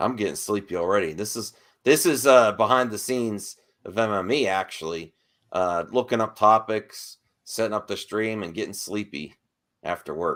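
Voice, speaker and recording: The recording is very clean, with a silent background. A man talks at a moderate pace in a fairly low pitch with ordinary pitch variation. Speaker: YouTube show host. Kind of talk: casual chat. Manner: loud.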